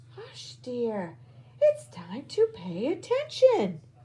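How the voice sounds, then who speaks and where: A female-sounding put-on character voice, high in pitch and very slow in pace. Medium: read story. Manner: gentle, patient.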